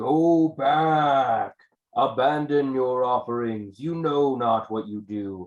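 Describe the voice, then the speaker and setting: In a booming, put-on character voice, a man speaks at medium pitch and a very slow pace. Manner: commanding, warning.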